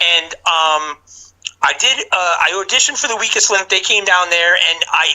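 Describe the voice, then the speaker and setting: With noticeable background noise, a man in a New York accent speaks at a moderate pace. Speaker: game show contestant. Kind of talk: podcast interview. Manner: halting, many fillers and restarts.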